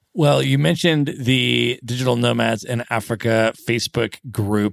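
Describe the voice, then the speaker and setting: In a very clean recording with a silent background and a dry, close sound with no echo, a man with an American accent speaks fairly slowly at a medium pitch in an ordinary speaking voice. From United States. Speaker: podcast host. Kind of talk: podcast interview.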